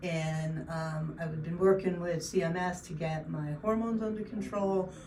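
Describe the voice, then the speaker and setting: There is noticeable background noise and audible room echo as a woman talks at a fairly low pitch with ordinary pitch variation. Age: 60s. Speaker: patient. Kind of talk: testimony. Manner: halting.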